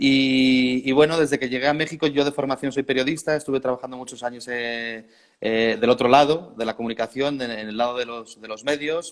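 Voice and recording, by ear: A man speaks at a medium pitch in a Spanish accent, with fairly even intonation. He keeps a fairly quick pace and makes few pauses. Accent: Peninsular Spanish.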